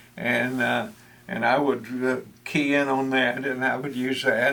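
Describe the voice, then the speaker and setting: A fairly slow pace with a Texan accent. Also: man. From Texas. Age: 80s+. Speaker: retired extension agent and church podcaster. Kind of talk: interview. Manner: halting, many fillers.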